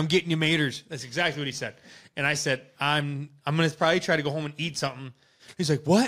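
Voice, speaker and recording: A man's bright, sharp, fairly high voice with an Upper Midwest accent, very fast and fairly even in intonation. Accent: Upper Midwest American. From Wisconsin. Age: 20s. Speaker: podcast host. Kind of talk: casual chat. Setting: live stream.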